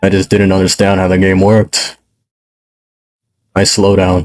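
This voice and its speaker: With music behind him, a man talks in a very deep, low pitch. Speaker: gaming YouTuber. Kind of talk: gameplay commentary. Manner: casual, chatty.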